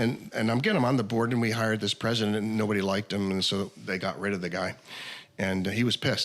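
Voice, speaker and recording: A man with an American accent talks at a very fast pace. His pitch is fairly low, and there is noticeable background noise. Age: 70s. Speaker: wine educator and author. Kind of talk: casual chat. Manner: animated.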